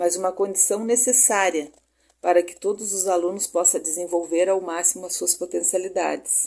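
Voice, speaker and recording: Her tone is dark and mellow, at a medium pitch. The woman speaks at a fairly slow pace. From southern Brazil, Rio Grande do Sul. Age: 60s. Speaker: pedagogy student. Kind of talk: recorded class presentation. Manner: hesitant, with fillers like né.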